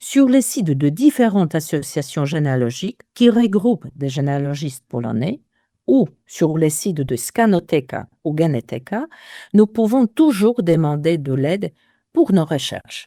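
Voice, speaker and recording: A woman with a Polish accent speaks at a fairly slow pace and fairly low pitch, her tone dark and mellow with very wide pitch swings. The sound is dry and close with no echo, in a very clean recording with a silent background. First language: Polish (speaking French). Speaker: genealogist. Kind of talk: interview.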